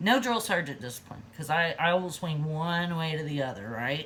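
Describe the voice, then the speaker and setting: A woman speaks at a moderate pace. Her voice sits fairly low. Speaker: lifestyle vlogger. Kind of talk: casual vlog talk. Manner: animated, giggly when passionate.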